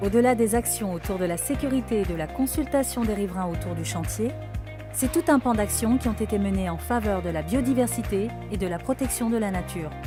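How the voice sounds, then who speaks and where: Music plays in the background. A woman speaks at a fairly quick pace. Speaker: voice actor. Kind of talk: corporate narration.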